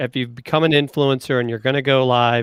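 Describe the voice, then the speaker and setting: A man with a Southern US accent speaks at a moderate pace and a fairly high pitch. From US South. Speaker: livestream co-host. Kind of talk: casual chat.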